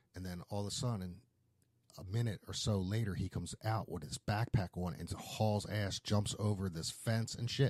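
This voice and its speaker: A man with a Philadelphia accent talks at a moderate pace, his fairly low voice somewhat breathy. The recording is very clean with a silent background and a dry, close sound with no echo. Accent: Philadelphia American. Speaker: podcast host, tattoo shop owner. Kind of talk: casual chat.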